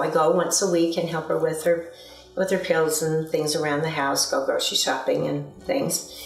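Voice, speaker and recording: A woman speaks at a moderate pace. Audible room echo and music in the background surround her voice. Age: 60s. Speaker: customer giving a testimonial. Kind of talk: testimony. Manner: halting, many fillers.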